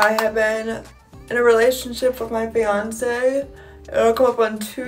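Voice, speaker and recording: A woman with an American accent, clear music in the background. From Ohio, USA. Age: 20s. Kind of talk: casual talk to camera. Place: home room. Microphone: phone near.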